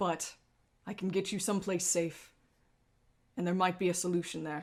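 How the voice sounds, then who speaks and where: A woman puts on a resonant character voice at a medium pitch and a moderate pace on a very clean recording with a silent background. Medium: actual play. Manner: urgent, halting.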